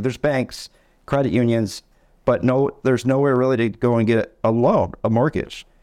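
With an American accent, a man talks at a fairly quick pace using fairly even intonation while music plays in the background. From Michigan (Tawas). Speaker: mortgage branch manager. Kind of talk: casual interview.

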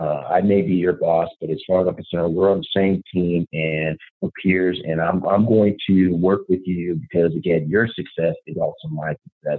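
A man speaks with an American accent. His pitch is very deep and low, with ordinary variation. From Chicago area, US Midwest. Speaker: sales executive, former college football player. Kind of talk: interview conversation. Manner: halting, many fillers.

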